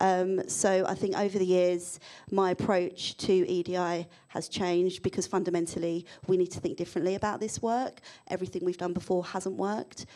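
Against a quiet background, a woman with a London accent speaks at medium pitch and a moderate pace in a dark, mellow tone. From London, England. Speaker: diversity and inclusion consultant; panelist. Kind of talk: panel discussion. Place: hall. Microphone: handheld.

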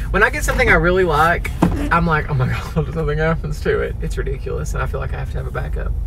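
Noticeable background noise behind a male voice. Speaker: vlogger. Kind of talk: casual vlog chat. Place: car. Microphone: phone near.

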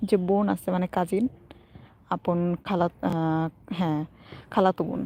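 Heard in a dry, close sound with no echo, a woman with an unremarkable speaking voice talks at a fairly low pitch with fairly even intonation. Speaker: vlogger. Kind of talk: casual live stream chat. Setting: outdoors walking in a park.

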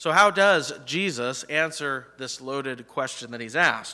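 Against a quiet background, a man speaks at a fairly slow pace in a bright, sharp tone. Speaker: pastor. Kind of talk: sermon. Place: church.

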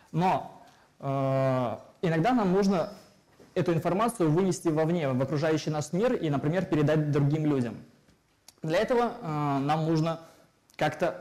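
Here a man is talking. His delivery is fairly slow. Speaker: lecturer. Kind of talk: lecture. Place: hall.

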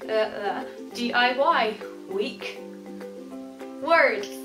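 Clear music plays in the background. Over it, a woman speaks in a fairly high pitch. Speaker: vlogger. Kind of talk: casual talk to camera. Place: home room. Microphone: webcam.

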